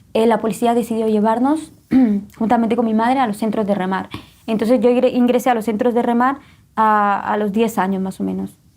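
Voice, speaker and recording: A woman's fairly high-pitched, normal speaking voice at a fairly quick pace. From Guatemala. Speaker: testimony guest. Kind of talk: testimony.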